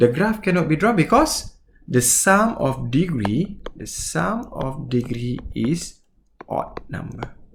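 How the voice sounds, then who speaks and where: A man with a Malaysian accent, vocal fry and very wide pitch swings, with audible room echo. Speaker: mathematics teacher. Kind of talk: lecture. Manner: halting.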